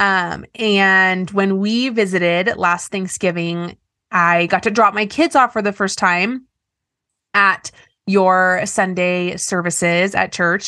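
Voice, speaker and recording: A woman's bright, sharp voice at a medium pitch, very slow in pace, with fairly even intonation against a quiet background. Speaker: podcast host. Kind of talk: casual interview conversation.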